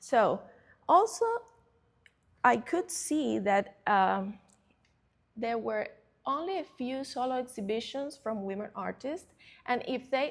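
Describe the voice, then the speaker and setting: A woman's high pitch and lively intonation in a Cuban accent, at a fairly slow pace with long, frequent pauses. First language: Spanish. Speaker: curator. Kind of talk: presentation talk. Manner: halting.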